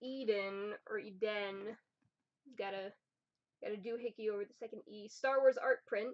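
Against a quiet background, a woman speaks at a moderate pace. She has an American accent. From New Jersey. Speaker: YouTuber. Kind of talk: unboxing video. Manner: animated. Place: home room. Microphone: webcam.

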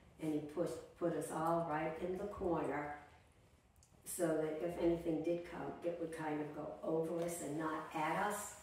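Monotone, flat intonation runs at a moderate pace. Strong room echo and light background noise fill the recording. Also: woman. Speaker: interviewee. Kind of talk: interview answer. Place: home room.

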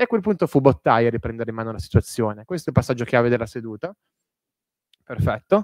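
A man speaks at a very fast pace. The sound is dry with no echo, and the background is quiet. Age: 30s. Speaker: historian, author. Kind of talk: lecture; Q&A answers. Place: hall.

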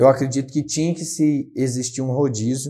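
This man's voice is somewhat breathy with a dark, mellow tone. His pitch sits fairly high. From São Paulo state, Brazil. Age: 20s. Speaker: city councillor. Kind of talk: interview. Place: studio. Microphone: lapel.

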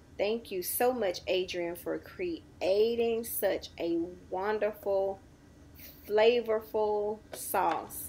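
A woman talks with ordinary pitch variation. Light background noise can be heard. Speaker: home cook vlogger. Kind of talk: cooking tutorial chat. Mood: enthusiastic, upbeat. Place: kitchen.

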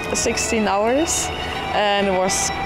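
A woman talks over loud music playing in the background. The sound is dry, with no echo. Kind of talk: interview answer. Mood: cheerful, relaxed. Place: street.

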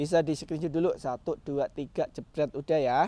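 The man's voice has a fairly high pitch and a dark, mellow tone. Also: dry sound with no echo. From Indonesia. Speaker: orchid seller. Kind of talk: street-market pitchman hawking orchids, upbeat sales patter with prices and bulk deals. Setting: live video from the orchid nursery. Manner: coaxing buyers with countdowns like 'satu dua tiga jebret'. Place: garden. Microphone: phone near.

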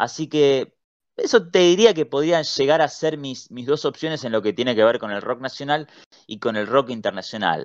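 Over a quiet background, a man speaks in a Rioplatense accent at a medium pitch. He keeps a moderate pace with lively intonation. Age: 30s. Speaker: writer and editor. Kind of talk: interview.

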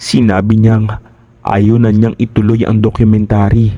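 Speaking fairly slowly, a man with a medium-pitched, dark and mellow voice keeps a monotone, flat intonation. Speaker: horror story narrator. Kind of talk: scripted narration.

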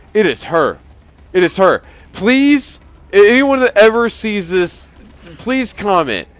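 Very slow and broken by long, frequent pauses, a man's speech comes with an American accent. His pitch is high and his intonation lively. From US South, Alabama. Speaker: gaming YouTuber. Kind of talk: casual gameplay commentary. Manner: animated.

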